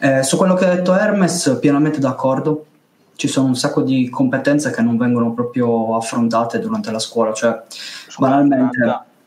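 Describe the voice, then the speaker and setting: Noticeable background noise accompanies a man at medium pitch who talks at a fairly quick pace with lively intonation. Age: 20s. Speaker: youtube channel panelist. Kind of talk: casual online panel discussion.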